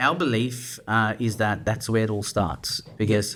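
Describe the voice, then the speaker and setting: At a fairly slow pace, a man with a medium pitch speaks in a bright, sharp tone. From South Africa, Cape Town. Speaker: business founder. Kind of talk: podcast interview. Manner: hesitant, many fillers.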